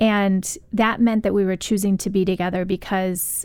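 A woman with an American accent and a plain, everyday voice, medium pitch, fairly even intonation and a moderate pace, on a very clean recording with a silent background. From US Midwest. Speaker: author. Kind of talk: radio interview, book discussion. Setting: studio.

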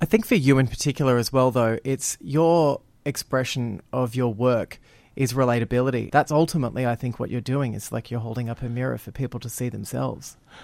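Speaking at a fairly quick pace, a man with medium pitch comes through in a very clean recording with a silent background and a dry, close sound with no echo. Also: fairly even intonation. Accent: Australian. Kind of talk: radio interview.

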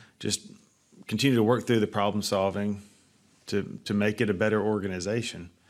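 A man speaks with an Alabama accent at a fairly quick pace, his pitch fairly low and his intonation monotone and flat. Long pauses come often. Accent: US Southern (Alabama). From North Alabama. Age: 30s. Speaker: pest control company CEO and nonprofit founder. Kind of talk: interview.

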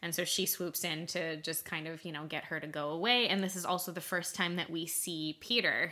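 A woman at a fairly quick pace, with fairly low pitch, fairly even intonation and hardly any pauses, over noticeable background noise. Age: 30s. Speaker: book podcast co-host. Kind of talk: casual chat. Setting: recording at a home.

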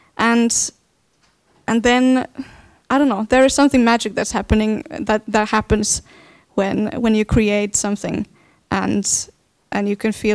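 Delivered at a moderate pace, the speech has fairly even intonation and a Finnish accent. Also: woman. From Finland. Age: 20s. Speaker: dance artist. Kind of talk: panel discussion. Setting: stage with live audience.

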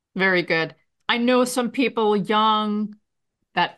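A woman with an unremarkable speaking voice, fairly slow and fairly even in intonation, against a quiet background. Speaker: radio host. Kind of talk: interview.

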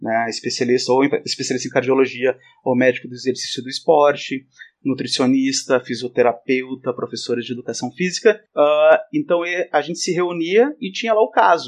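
A man speaks in a normal speaking voice at a medium pitch and moderate pace, with ordinary pitch variation. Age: 30s. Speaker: exercise professional and professor. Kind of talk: casual chat.

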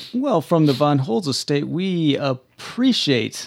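Speaking fairly slowly in an ordinary speaking voice, a man with a fairly high pitch uses lively intonation, recorded very cleanly against a silent background. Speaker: podcast co-host and roleplaying player. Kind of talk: tabletop roleplaying actual play, casual chat.

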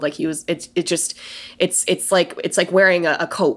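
A woman with an American accent talks at a moderate pace in a fairly low pitch, a plain, everyday voice. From Colorado, US. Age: 30s. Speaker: podcaster. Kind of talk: casual chat.

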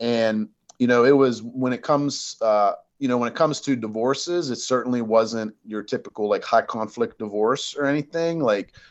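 With ordinary pitch variation, this man uses an ordinary speaking voice. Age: 40s. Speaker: retired judge and family law consultant. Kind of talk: casual interview. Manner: casual, filler-heavy.

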